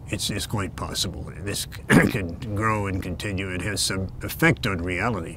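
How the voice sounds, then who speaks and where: A man with a very deep, low pitch speaks with fairly even intonation, accompanied by audible room echo and noticeable background noise. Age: 80s+. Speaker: retired longshoreman. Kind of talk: interview. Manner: halting, with many fillers.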